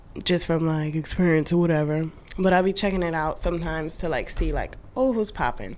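A woman talks at a moderate pace in an ordinary speaking voice. Her pitch is fairly low with ordinary variation. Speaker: podcast co-host. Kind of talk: casual chat.

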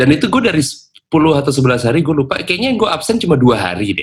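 A man talks at a moderate pace with very wide pitch swings. His voice carries vocal fry. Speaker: radio announcer and podcast host. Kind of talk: casual chat between friends.

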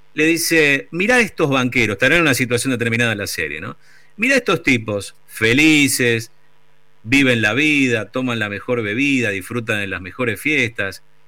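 A man speaks at a moderate pace with lively intonation, a medium pitch and a bright, sharp tone. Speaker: radio host. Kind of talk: casual chat on radio.

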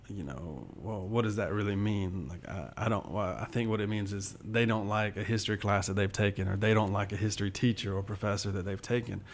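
A man with an unremarkable speaking voice talks at a fairly quick pace with hardly any pauses, a fairly low pitch and fairly even intonation. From US South, southwest Georgia. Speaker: history professor. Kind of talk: interview.

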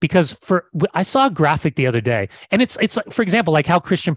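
A man with a General American accent talks at a very fast pace, somewhat breathy and animated in tone, in a dry, close sound with no echo. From California. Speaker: soccer broadcaster and former player. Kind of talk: casual chat. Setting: video call.

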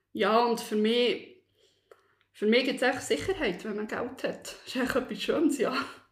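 Through audible room echo, a woman speaks fairly slowly at a high pitch. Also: ordinary pitch variation. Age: 30s. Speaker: office worker sharing personal debt story. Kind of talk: personal testimony interview. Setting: studio, seated next to host. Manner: hesitant, many fillers.

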